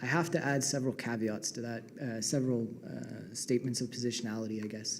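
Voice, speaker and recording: A man's voice carries audible room echo. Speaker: PhD student panelist. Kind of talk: academic presentation. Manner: fast.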